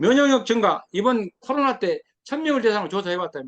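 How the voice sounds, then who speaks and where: A man at a fairly quick pace. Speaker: lecturer. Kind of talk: lecture.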